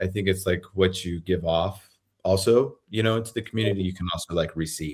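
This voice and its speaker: His pitch is very deep and low, and his intonation stays fairly even. The man talks at a fairly quick pace. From New Mexico, Santa Fe. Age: 30s. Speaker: podcast host. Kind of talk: casual chat.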